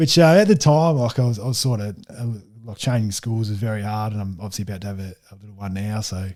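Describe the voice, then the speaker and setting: In an Australian accent, a man talks at a very fast pace with a dark, mellow tone and ordinary pitch variation, on a very clean recording with a silent background. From Tasmania. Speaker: football player. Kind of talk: interview. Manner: halting.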